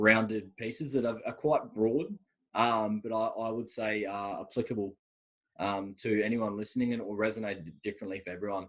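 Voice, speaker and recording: A man talks with an Australian accent at a fairly quick pace. His voice sits fairly low. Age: 20s. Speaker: university student. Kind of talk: podcast interview. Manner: fast.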